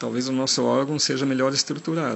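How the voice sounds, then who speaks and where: The man speaks at a moderate pace. His voice sits at medium pitch with fairly even intonation. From Germany. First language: German (speaking Portuguese). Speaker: forest engineer and park manager. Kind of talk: recorded interview answers. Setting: outdoors in a national park. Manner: halting.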